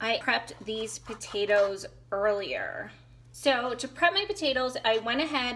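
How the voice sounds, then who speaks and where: Over noticeable background noise, a woman talks at a fairly slow pace. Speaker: home cook vlogger. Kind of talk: casual cooking tutorial chat. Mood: relaxed and friendly. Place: kitchen. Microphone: phone near.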